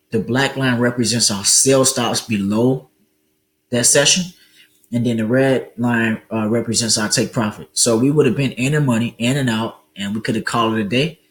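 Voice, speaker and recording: Moderately paced, a man with an ordinary speaking voice talks at a medium pitch with fairly even intonation. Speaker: forex trading educator. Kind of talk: tutorial. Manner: casual, many fillers.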